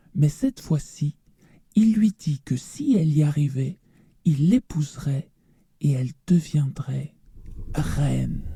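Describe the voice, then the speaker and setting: With long, frequent pauses, a put-on character voice of low-to-middle pitch moves at a fairly slow pace. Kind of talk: read story. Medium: read story.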